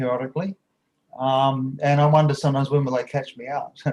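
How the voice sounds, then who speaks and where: Somewhat breathy and fairly high-pitched, a man with a New Zealand accent talks at a very fast pace. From New Zealand, South Auckland. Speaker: university professor. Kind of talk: online panel discussion. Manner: hesitant, many fillers.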